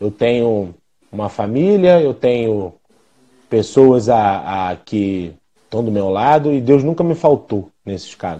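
A man speaks at a very slow pace. His tone is dark and mellow, with lively intonation. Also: medium pitch for a man. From Rio de Janeiro, Brazil. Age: 40s. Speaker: physiotherapist and clinic owner. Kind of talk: live interview.

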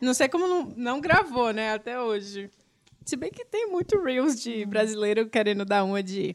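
Lively in intonation, a woman with an unremarkable speaking voice talks at a moderate pace. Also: fairly high pitch for a woman. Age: 30s. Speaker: podcast host. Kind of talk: casual chat.

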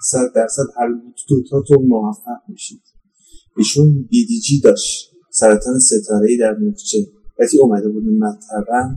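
A man with a dark, mellow tone and a somewhat breathy voice talks at a fairly slow pace, his pitch swinging very widely. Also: medium pitch for a man. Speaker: poet. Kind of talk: personal testimony. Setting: outdoors. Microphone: poor sound quality.

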